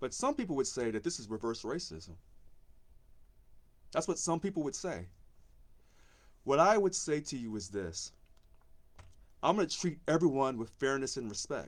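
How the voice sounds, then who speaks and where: With an American accent and vocal fry, a man talks at a moderate pace and a fairly high pitch, his voice making very wide pitch swings and big swings in loudness, with long, frequent pauses on a very clean recording with a silent background. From Missouri, US. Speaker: union election candidate. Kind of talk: live video monologue. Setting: live social media video. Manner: passionate.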